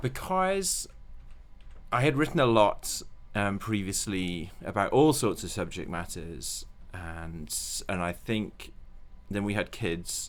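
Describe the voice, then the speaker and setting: Very slowly and with long, frequent pauses, a man speaks with a Welsh accent. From Wales. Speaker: children's book author. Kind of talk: interview.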